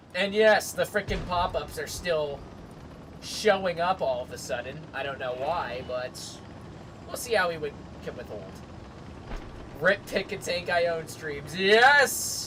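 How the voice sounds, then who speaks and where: The delivery is fairly slow, broken by long, frequent pauses. Noticeable background noise runs underneath. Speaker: gaming streamer. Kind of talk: live gameplay stream. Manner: casual, animated; loud.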